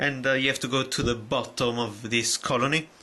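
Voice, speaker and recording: A man speaks at a moderate pace while noticeable background noise carries through the recording. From Italy. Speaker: video game collector YouTuber. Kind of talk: casual video haul review. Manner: halting, many fillers and restarts.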